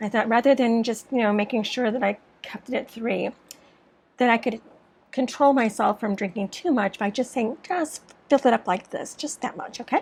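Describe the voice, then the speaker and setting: A normal speaking voice, moderately paced, its pitch varying in an ordinary way. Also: woman, fairly high pitch for a woman. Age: 60s. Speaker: storyteller. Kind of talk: storytime monologue.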